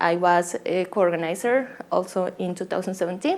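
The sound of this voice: A woman speaks with a Colombian accent. Her pitch is fairly low. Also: slightly mellow tone.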